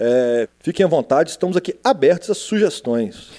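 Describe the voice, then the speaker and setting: Over a quiet background, a man speaks at a moderate pace. His tone is dark and mellow, with very wide pitch swings. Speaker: podcast co-host. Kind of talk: casual chat. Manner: jokey, relaxed.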